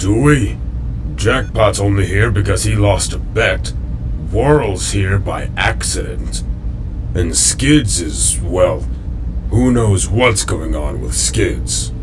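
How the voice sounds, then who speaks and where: Loud background noise sits behind a man doing a put-on character voice with long, frequent pauses. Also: fairly slow pace. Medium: fan dub. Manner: stiff, formal, serious.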